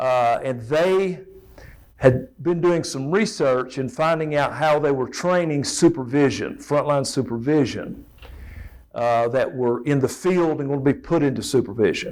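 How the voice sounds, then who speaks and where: A man with an Appalachian accent speaks in a fairly high pitch at a fairly slow pace. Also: ordinary pitch variation. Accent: Southern US (Appalachian) accent, noticeable. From East Tennessee (Elizabethton). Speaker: safety trainer. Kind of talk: presentation to an audience.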